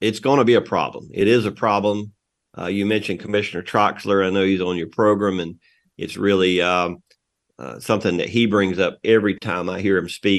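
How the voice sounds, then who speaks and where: With an American accent, this is an unremarkable speaking voice moving at a fairly quick pace in a fairly even intonation. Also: man, fairly low pitch for a man. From eastern North Carolina. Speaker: farm organization president and farmer. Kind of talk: radio interview.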